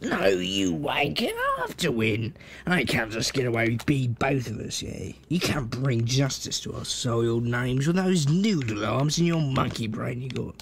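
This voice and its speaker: Clear background noise sits behind a put-on character voice pitched low-to-middle. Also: moderate pace, hardly any pauses. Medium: role play. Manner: brash, crude, competitive.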